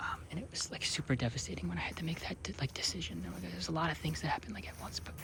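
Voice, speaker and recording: Soft-spoken and relaxed, a man whispers over noticeable background noise. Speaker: ASMR creator. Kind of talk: casual talk to camera, outdoor hike conversation. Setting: outdoors in nature, rain starting. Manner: soft-spoken, whispered, relaxed.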